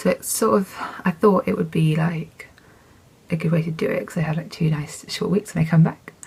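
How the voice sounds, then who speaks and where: A woman with an English accent, fairly low pitch, and a fairly quick pace. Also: ordinary pitch variation. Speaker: knitting podcaster. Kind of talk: casual chat. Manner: chatty, with fillers.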